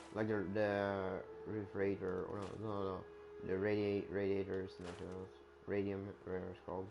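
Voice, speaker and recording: Fairly quick, monotone speech from a man with a fairly low pitch, flat intonation, long and frequent pauses, audible room echo and noticeable background noise. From Sweden. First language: Swedish. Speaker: gamer streamer. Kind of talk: gameplay commentary. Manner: halting, many fillers and restarts.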